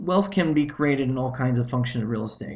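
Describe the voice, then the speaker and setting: A man speaks fairly quickly in a medium pitch, his voice somewhat breathy and his pitch varying in an ordinary way. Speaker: real estate investment presenter. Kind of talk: webinar presentation. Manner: fast; halting, many fillers and restarts.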